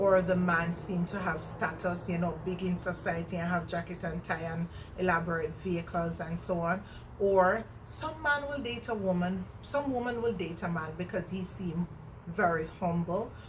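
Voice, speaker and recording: Amid noticeable background noise and audible room echo, a woman with a Jamaican accent speaks at a moderate pace in a fairly low pitch with ordinary pitch variation. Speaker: vlogger. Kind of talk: casual chat. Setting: outdoors. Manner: animated.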